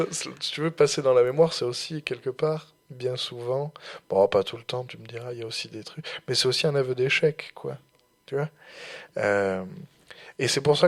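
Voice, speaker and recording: A man speaks at a moderate pace in a medium pitch, with ordinary pitch variation and big swings in loudness. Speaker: student radio host. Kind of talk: casual discussion. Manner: halting, many hesitations.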